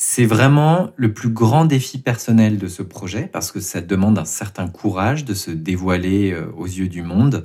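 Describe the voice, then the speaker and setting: Fairly low in pitch, a man with a dark, mellow tone speaks at a fairly slow pace with lively intonation, in a very clean recording with a silent background. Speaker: podcast host and writer. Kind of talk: interview answers about creative process.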